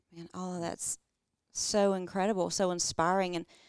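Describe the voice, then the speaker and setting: At a moderate pace, a woman with a fairly low pitch speaks in a warm, enthusiastic tone. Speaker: podcast co-host. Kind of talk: casual interview. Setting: guests' living room.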